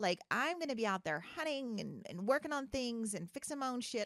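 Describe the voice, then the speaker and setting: Loud and high-pitched, a woman speaks with very wide swings in pitch. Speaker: podcast host. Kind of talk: casual chat. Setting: studio.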